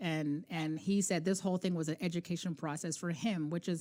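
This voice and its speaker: The speaker has a plain, everyday voice and a fairly quick pace. The recording is very clean, with a silent background. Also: woman. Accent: Canadian. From Canada. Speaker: podcast co-host, basketball mom. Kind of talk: casual interview chat.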